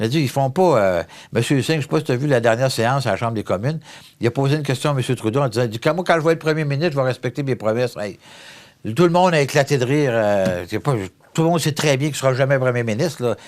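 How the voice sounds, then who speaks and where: Very fast speech from a man at medium pitch with ordinary pitch variation. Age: 60s. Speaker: federal member of parliament. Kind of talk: interview. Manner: animated.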